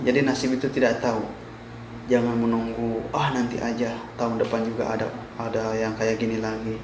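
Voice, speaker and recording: Recorded with audible room echo and noticeable background noise, a man with a West Javanese accent speaks at a moderate pace with long, frequent pauses. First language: Sundanese (speaking Indonesian). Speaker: vlogger, migrant worker. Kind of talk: informational vlog. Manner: halting.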